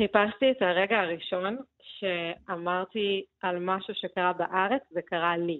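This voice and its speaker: A woman speaks at a very slow pace in a medium pitch, her intonation fairly even and her delivery carrying hardly any pauses. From Soviet Union, raised in Beersheba. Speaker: novelist. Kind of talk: radio interview.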